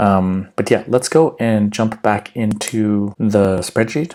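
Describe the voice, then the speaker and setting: Someone with a Canadian accent speaks over noticeable background noise. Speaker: finance YouTuber. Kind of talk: tutorial. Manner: casual, conversational.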